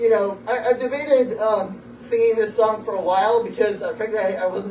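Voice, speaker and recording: There is audible room echo and light background noise as a man speaks with a high pitch. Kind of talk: rambling stage banter introducing a song. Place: stage. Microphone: camera far.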